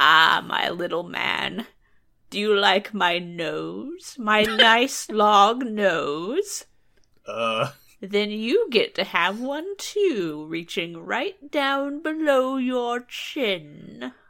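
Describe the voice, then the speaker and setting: In a put-on character voice, a woman speaks at a very slow pace, hoarse and croaky, at a medium pitch. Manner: sweetly menacing.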